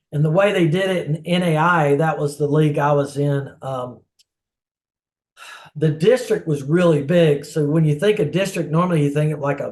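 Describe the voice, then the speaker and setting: A man's somewhat breathy voice at a fairly high pitch, with fairly even intonation and a moderate pace. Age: 60s. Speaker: former goalkeeper, soccer player. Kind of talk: interview answer.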